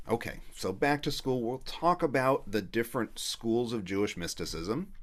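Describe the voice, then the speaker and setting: A man with an unremarkable speaking voice, fairly low in pitch, at a moderate pace. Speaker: rabbi teaching a class. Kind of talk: online lecture.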